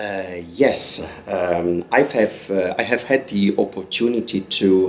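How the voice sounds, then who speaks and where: Noticeable background noise surrounds the speech. A man talks at a very slow pace. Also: fairly low pitch for a man, ordinary pitch variation. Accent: Italian. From Italy, Turin. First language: Italian. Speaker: magazine editor and blogger. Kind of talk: interview. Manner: halting.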